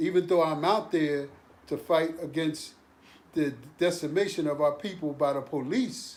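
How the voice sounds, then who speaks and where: Speaking at a fairly slow pace, a man has a fairly high pitch. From Philadelphia, US. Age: 60s. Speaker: activist. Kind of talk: casual chat.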